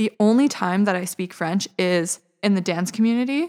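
Speaking with a Western Canadian accent at a fairly quick pace, a woman holds a medium pitch with ordinary pitch variation. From Vancouver, British Columbia, Canada. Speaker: university student. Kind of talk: casual interview.

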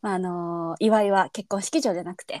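Talking at a very fast pace, a woman has a medium-pitched voice with a dark, mellow tone. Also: dry, close sound with no echo. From Kansai, Japan. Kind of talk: casual chat.

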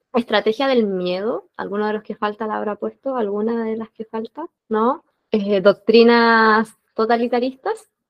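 A woman's fairly high-pitched, fairly slow delivery, with fairly even intonation and an ordinary speaking voice. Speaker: book club host. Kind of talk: book club discussion. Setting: video call.

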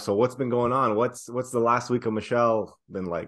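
The tone is energetic. The pace is fairly quick. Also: man. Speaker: podcast co-host, stand-up comedian. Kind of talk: casual chat.

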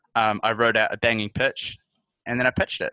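A man with a New Zealand accent at a very fast pace, medium pitch, bright and sharp in tone, with a dry, close sound and no echo. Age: 20s. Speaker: journalist. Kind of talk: casual interview.

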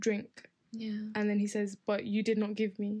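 In an Essex accent, a woman talks at a moderate pace with monotone, flat intonation. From Essex, England. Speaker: podcast guest. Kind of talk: casual chat.

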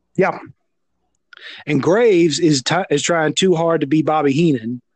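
A man talks with a Southern US accent. His pitch sits fairly high, with ordinary variation. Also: moderate pace, very even loudness. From US South. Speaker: wrestling podcaster. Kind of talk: casual chat. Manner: halting.

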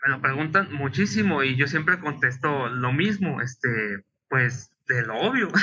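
A man with a Mexican accent, fairly high pitched, with lively intonation and a fairly slow pace. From Mexico, provinces. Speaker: illustrator and webcomic author. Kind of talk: interview.

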